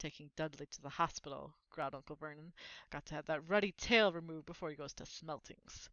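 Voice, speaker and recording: Putting on a gruff character voice, a woman speaks at a fairly quick pace in a very deep, low pitch with ordinary pitch variation and big swings in loudness. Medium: read story. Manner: gruff, sneering.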